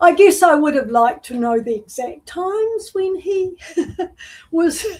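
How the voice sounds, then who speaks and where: At a very slow pace, a woman with a New Zealand accent swings very widely in pitch. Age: 70s. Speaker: artist. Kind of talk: interview. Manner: halting.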